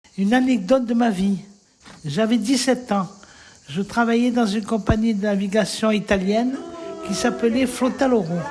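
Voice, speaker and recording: Speaking at a moderate pace with ordinary pitch variation, a woman with a fairly high voice leaves long, frequent pauses over noticeable background noise. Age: 70s. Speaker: elderly writing workshop participant. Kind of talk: reading aloud own life story.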